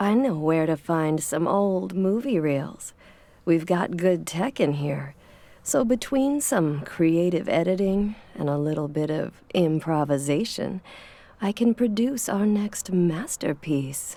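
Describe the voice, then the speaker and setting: A breathy, put-on character voice with lively intonation at a fairly slow pace, in a very clean recording over a silent background. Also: woman, fairly low pitch for a woman. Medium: video game. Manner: sultry, flirtatious, purring endearments.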